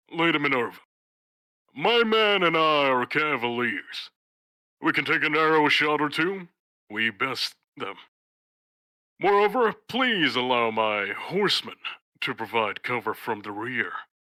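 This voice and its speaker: A put-on character voice makes very wide pitch swings at a moderate pace, with long, frequent pauses. The recording is very clean, with a silent background. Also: man, fairly high pitch for a man. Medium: machinima. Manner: formal, earnest.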